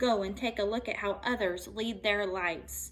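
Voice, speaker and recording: At a moderate pace, a woman puts on a character voice at medium pitch. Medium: read story. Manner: scolding, gruff.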